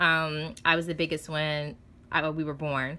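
This woman speaks in a fairly low voice with a bright, sharp tone. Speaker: expectant mother vlogger. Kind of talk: casual vlog, product haul. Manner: excited, chatty. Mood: excited, happy. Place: home room. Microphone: phone near.

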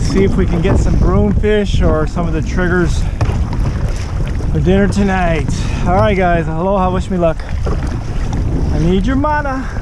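A man speaks at a fairly slow pace with long, frequent pauses. The sound is dry with no echo, but loud background noise is present. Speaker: kayak fisherman vlogger. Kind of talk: casual vlog chat. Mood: cheerful, relaxed. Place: waterside. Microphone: phone near.

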